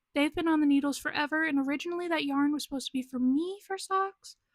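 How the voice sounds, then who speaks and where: This woman's voice sits high in pitch, with ordinary pitch variation and a moderate pace. The recording is very clean, with a silent background. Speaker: knitting podcaster. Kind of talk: casual chat.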